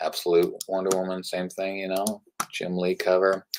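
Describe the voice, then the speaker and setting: At a fairly quick pace, a man is talking. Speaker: comic shop owner hosting livestream. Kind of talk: live product rundown. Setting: livestream. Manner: monotone; casual, hesitant with many fillers.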